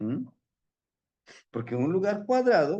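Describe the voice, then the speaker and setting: A man is speaking. His pitch swings very widely. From Mexico City. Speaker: spiritual teacher. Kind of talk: lecture.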